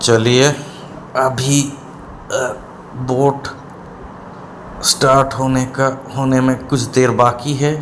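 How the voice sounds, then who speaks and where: A man speaks at a medium pitch with very even loudness and monotone, flat intonation, leaving long, frequent pauses amid noticeable background noise and audible room echo. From Kolkata, India. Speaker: travel vlogger. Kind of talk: travel vlog narration. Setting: on a river boat, outdoors. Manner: casual, with hesitations.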